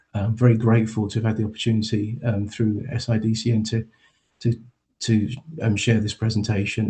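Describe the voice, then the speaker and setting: Spoken with an English accent, the voice is somewhat breathy. The intonation is monotone and flat at a moderate pace. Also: man. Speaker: charity chief executive. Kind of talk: conference presentation. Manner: halting, many fillers.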